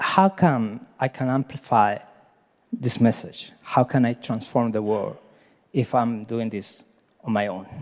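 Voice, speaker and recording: A man with a Chilean Spanish accent speaks at a fairly slow pace and a medium pitch, leaving long, frequent pauses, in a very clean recording with a silent background. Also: ordinary pitch variation. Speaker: happiness advocate, nonprofit founder. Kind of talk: question at a coaching event. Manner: halting; energetic.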